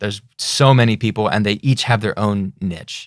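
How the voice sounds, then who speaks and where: Fairly low-pitched man with an American accent, at a fairly slow pace and ordinary pitch variation, in a very clean recording with a silent background and a dry, close sound with no echo. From Orange County, California. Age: 20s. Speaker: voice actor, music producer. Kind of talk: interview answer. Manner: casual.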